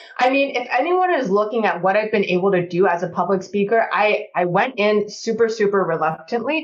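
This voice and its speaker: A woman's animated, medium-pitched voice with lively intonation, very even loudness, a fairly quick pace and hardly any pauses, over noticeable background noise. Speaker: career coach and author. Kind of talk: casual chat. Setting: podcast. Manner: fast.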